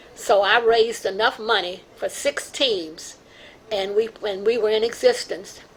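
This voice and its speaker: Amid noticeable background noise, a woman speaks at a fairly slow pace and fairly high pitch, with ordinary pitch variation. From Louisville, Kentucky. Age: 90s. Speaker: community elder and artist. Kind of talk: oral history testimony. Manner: halting.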